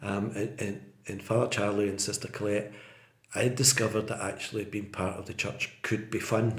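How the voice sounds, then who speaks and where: Somewhat breathy, the voice carries a west of Scotland accent and fairly even intonation. The pace is moderate, with audible room echo. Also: man, fairly low pitch for a man. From Scotland, Port Glasgow (Inverclyde). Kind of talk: interview, casual chat. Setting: podcast. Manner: repeats words, hesitant fillers.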